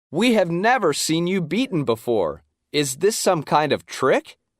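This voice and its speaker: A man's growling, put-on character voice, high-pitched, with very wide pitch swings and very even loudness, at a moderate pace, in a dry, close sound with no echo, on a very clean recording against a silent background. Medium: read story.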